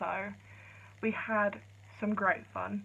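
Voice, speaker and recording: In an English accent, a woman speaks quietly. Her pitch is medium. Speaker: vlogger. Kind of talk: casual vlog chat. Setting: filming at home late at night. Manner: speaking quietly. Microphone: poor phone camera audio.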